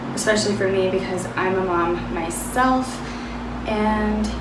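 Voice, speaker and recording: A woman speaks at a fairly slow pace against loud background noise. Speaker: fitness vlogger. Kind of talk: casual vlog chat. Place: home room.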